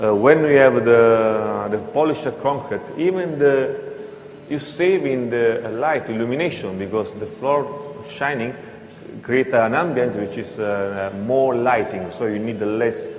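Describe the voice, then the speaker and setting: Audible room echo and noticeable background noise accompany a man who speaks at a fairly slow pace and a medium pitch with ordinary pitch variation. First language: not English. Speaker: floor grinding equipment presenter. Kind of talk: seminar presentation. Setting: hotel seminar with audience. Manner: halting.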